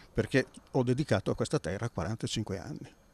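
This man speaks at a moderate pace with lively intonation and a dark, mellow tone. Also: dry sound with no echo. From Italy, Milan and Naso, Sicily; Italy. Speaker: businessman and author. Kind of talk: interview. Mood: calm, reflective. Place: street. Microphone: handheld.

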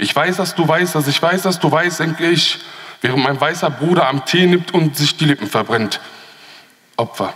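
An animated male voice, fairly high in pitch, with long, frequent pauses, ordinary pitch variation, very even loudness, and a quiet background. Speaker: poetry slam performer. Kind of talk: poetry slam performance, rhythmic spoken-word text delivered to a live audience. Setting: stage with audience. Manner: animated, ironic and sarcastic, punchy, with repeated refrain; fast-paced, rushed by time limit. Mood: ironic, pointed, rhythmic. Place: hall.

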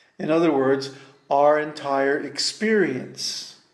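The voice moves at a very slow pace. There is audible room echo against a quiet background. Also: man. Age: 70s. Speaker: spiritual teacher. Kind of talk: lecture. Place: home room. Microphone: webcam.

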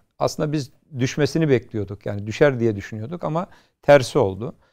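In a quiet background, a man talks. His pace is fairly quick. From Istanbul, Turkey; Turkey. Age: 50s. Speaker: youth NGO platform president; talk show guest. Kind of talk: TV talk show interview. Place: studio. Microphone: lapel.

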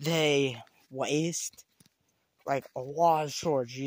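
Fairly even in intonation, a man speaks at a very slow pace with a dry sound and no echo. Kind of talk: casual vlog chat. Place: forest. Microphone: phone near.

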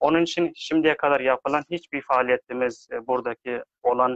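A man talks at a moderate pace in a monotone, flat intonation. The sound is dry with no echo, and the background is quiet. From Afghanistan. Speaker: aid worker; interview guest. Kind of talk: live online discussion. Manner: halting. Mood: calm, measured. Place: home room. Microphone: video call.

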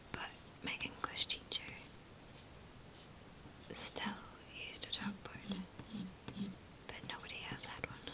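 At a fairly slow pace, the speaker whispers, leaving long, frequent pauses, while noticeable background noise runs underneath. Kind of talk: ASMR whisper video. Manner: whispered.

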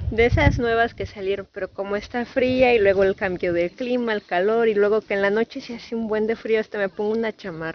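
A woman at a moderate pace with ordinary pitch variation, in a dry recording with no echo and light background noise. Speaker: vlogger. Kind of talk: casual vlog chat. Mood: cheerful, chatty. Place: garden. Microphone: phone near.

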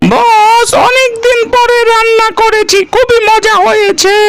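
A cartoonish character voice at a very slow pace, against loud background noise. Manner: deferential, addresses boss.

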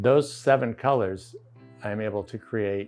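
A man speaks with a fairly low pitch. Faint music plays in the background. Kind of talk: interview answer. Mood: calm, reflective. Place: home room.

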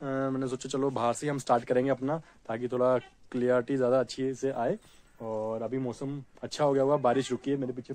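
Moderate in pace, a man speaks in a monotone, flat intonation. The sound is dry with no echo. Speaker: vlogger. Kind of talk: casual vlog chat. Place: open country. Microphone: phone near.

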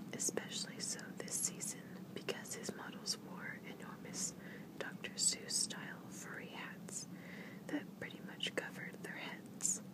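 The whispering moves at a fairly slow pace. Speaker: whisper video creator. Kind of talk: whispered ASMR reading of a newspaper article. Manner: whispered, relaxing. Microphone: phone near.

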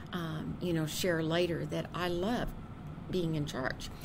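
In an American accent, a woman speaks fairly slowly with fairly low pitch and fairly even intonation, and audible room echo is present. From US Midwest, Kansas City, Missouri. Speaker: university administrator. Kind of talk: oral history interview. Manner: hesitant, many fillers.

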